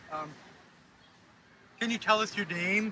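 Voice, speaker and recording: Loud and at a moderate pace, a man talks with ordinary pitch variation over noticeable background noise. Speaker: video interviewer. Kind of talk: interview. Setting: outdoors.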